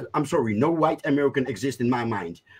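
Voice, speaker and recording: This is a man's voice. His pitch is fairly high. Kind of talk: casual chat. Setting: video call. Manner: halting. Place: home room. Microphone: video call.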